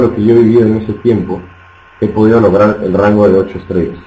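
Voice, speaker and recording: Over noticeable background noise, a man speaks at a fairly quick pace in a fairly low pitch. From Peru. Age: 20s. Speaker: network marketing trainer. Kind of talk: motivational training talk. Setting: online webinar.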